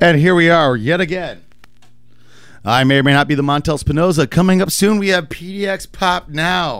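A man speaks with a high pitch at a moderate pace. His pitch varies in an ordinary way. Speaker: radio host. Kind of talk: casual radio banter. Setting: radio studio.

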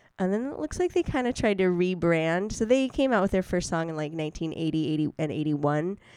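A dark, mellow, upbeat tone against a quiet background. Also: woman, fairly low pitch for a woman. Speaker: radio host. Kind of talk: radio dj patter. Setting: studio. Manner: chatty, casual, upbeat.

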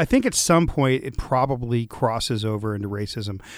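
Recorded very cleanly against a silent background, with a dry, close sound and no echo, a man with an unremarkable speaking voice talks at medium pitch and a fairly quick pace. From Los Angeles, US West Coast. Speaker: radio talk show host. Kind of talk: casual panel discussion. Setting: studio.

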